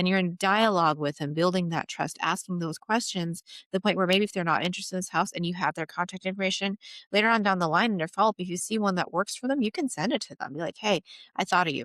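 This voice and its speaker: On a very clean recording with a silent background and a dry, close sound with no echo, a woman talks at a very fast pace. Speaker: real estate agent and trainer. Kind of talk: interview conversation.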